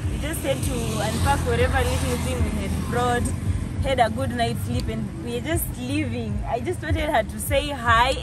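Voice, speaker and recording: A woman speaks at a moderate pace over loud background noise. The sound is dry with no echo. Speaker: travel vlogger. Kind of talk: casual vlog chat. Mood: cheerful, warm. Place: street.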